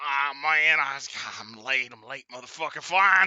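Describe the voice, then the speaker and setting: Here is a put-on character voice with a strong Brooklyn accent. It sounds raspy. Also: man, fairly high pitch for a man, moderate pace. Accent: thick New York, Brooklyn. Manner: irritable, gruff, rushed.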